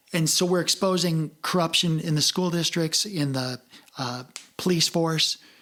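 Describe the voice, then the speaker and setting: There is noticeable background noise behind this woman. Her pitch is fairly low and her pace is moderate. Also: ordinary pitch variation. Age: 60s. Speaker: podcast host, former military. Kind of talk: casual chat.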